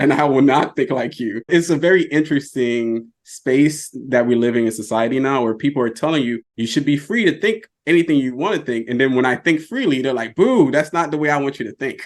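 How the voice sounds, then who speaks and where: A plain, everyday voice at a fairly quick pace, with hardly any pauses and ordinary pitch variation. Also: man, fairly high pitch for a man. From US South. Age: 40s. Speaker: personal finance content creator. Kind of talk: podcast interview.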